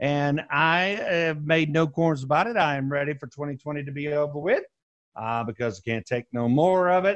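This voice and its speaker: A man with a fairly high pitch and ordinary pitch variation has a normal speaking voice. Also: moderate pace. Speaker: radio host. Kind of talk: radio show hosting.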